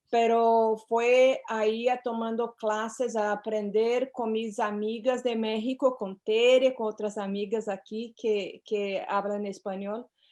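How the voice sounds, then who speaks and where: With a Portuguese accent, a woman speaks at a very slow pace with hardly any pauses, her tone dark and mellow and her intonation monotone and flat. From Brazil. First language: Portuguese (speaking Spanish). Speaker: psychotherapist. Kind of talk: interview. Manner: hesitant, with fillers.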